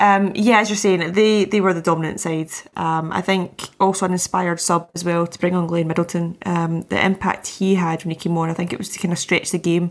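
In a Scottish accent, the speaker goes at a fairly quick pace with hardly any pauses and a monotone, flat intonation. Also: woman, fairly low pitch for a woman. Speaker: football podcast panelist, producer. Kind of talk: casual chat.

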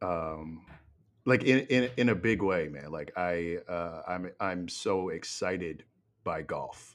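A man at a very deep, low pitch with ordinary pitch variation and a very slow pace, on a very clean recording with a silent background. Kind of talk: casual chat.

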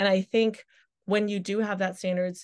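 A woman speaks at a moderate pace in a normal speaking voice. The background is quiet. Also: dry, close sound with no echo. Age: 20s. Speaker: content creator and travel influencer. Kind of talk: casual chat.

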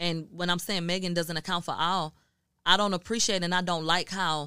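In a very clean recording with a silent background and a dry, close sound free of echo, a woman with an American accent speaks at a very fast pace in a bright, sharp tone and a monotone, flat intonation. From Houston, Texas. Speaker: media journalist. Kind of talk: casual chat.

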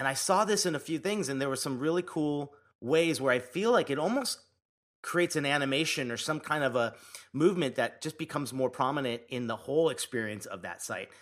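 A man speaks in a normal speaking voice at a fairly quick pace. His fairly high pitch moves with lively intonation. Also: very clean recording, silent background. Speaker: podcast co-host. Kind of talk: casual chat.

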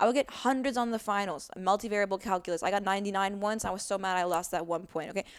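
A woman at a very fast pace with ordinary pitch variation in a very clean recording with a silent background. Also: medium pitch for a woman, hardly any pauses. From US. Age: 30s. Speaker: musician and activist. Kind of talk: casual chat. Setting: home recording on a couch.

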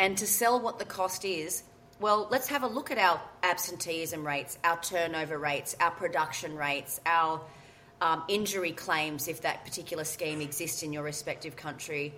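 In an Australian accent, a woman speaks at a moderate pace with a fairly low pitch and ordinary pitch variation. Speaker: workplace mental health consultant. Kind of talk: interview. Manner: loud.

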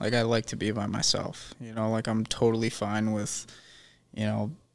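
On a very clean recording with a silent background, a man uses a normal speaking voice at a medium pitch. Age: 20s. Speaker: podcast guest. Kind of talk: casual chat.

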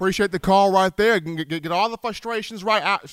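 The voice comes at a fairly quick pace with an energetic tone, the sound dry and close with no echo. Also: man. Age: 20s. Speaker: sports talk show host. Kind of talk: call-in sports talk show.

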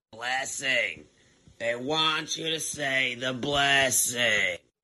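Using a put-on character voice at medium pitch, a man speaks at a very slow pace with fairly even intonation. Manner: imitating an old guy's way of speaking.

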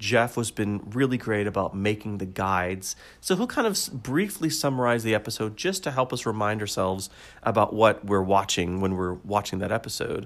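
A man with an unremarkable speaking voice talks at a fairly quick pace, his pitch fairly low and its variation ordinary. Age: 40s. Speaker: podcast co-host. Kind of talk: tutorial; casual chat. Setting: video call.

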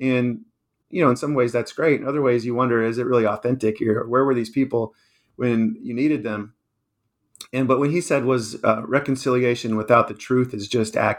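A man's medium-pitched voice with an American accent, an unremarkable speaking voice, fairly even intonation and a fairly quick pace over a quiet background. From Washington, D.C. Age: 50s. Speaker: author. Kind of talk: interview.

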